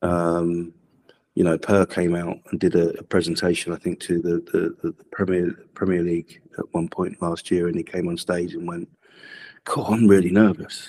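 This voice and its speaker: A man's very deep, low voice, dark and mellow in tone, at a moderate pace with monotone, flat intonation and a dry, close sound with no echo. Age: 40s. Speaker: football academy coach. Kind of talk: podcast interview.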